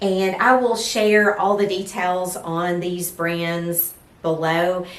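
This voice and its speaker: A woman's very slow, fairly even-toned speech in an East Texas accent, with noticeable background noise. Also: medium pitch for a woman. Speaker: lifestyle vlogger. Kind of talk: casual fashion vlog. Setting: at home, filming with ring light.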